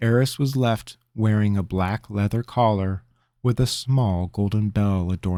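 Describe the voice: Over a quiet background, the voice does plain reading aloud with ordinary pitch variation.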